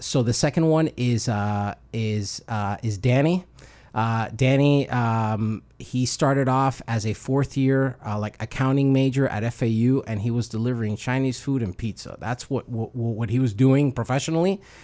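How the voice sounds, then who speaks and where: A man with an American accent speaks at a moderate pace with hardly any pauses, his medium-pitched voice dark and mellow in tone with ordinary pitch variation, on a very clean recording with a silent background. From Miami, Florida. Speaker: careers manager at a coding bootcamp. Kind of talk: radio interview.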